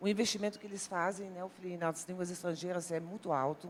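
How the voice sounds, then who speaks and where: This woman speaks with a Dutch accent. Her pitch is medium. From Netherlands, near German border. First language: Dutch (speaking Portuguese). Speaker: university language professor. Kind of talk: TV talk show panel discussion.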